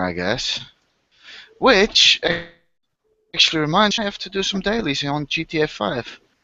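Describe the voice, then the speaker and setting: A man's voice with very wide pitch swings. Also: long, frequent pauses. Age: 20s. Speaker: online hangout host. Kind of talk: casual chat.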